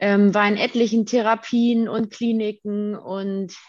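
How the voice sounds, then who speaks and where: Using an unremarkable speaking voice, a woman talks at a fairly slow pace at a medium pitch with fairly even intonation. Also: quiet background. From Germany, Detmold (Westphalia). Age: 20s. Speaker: daycare educator sharing recovery from eating disorder. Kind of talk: interview.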